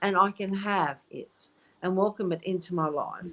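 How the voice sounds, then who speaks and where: Fairly slow delivery in an ordinary speaking voice, with ordinary pitch variation. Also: woman. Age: 60s. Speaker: psychic medium. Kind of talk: casual chat.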